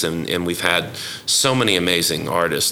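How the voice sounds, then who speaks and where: There is noticeable background noise and audible room echo as a man with an American accent speaks at a very deep, low pitch. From Oklahoma, Yukon. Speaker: jazz educator and musician. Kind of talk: interview.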